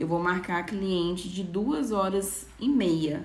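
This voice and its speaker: A woman's medium-pitched voice with ordinary pitch variation and audible room echo. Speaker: nail designer. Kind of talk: live stream talk to viewers. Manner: casual, conversational.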